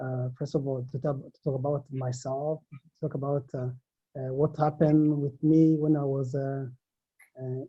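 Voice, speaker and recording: Somewhat breathy and fairly high in pitch, a man speaks at a fairly slow pace. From Africa. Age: 40s. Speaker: recently released immigration detainee. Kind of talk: testimony. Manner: halting.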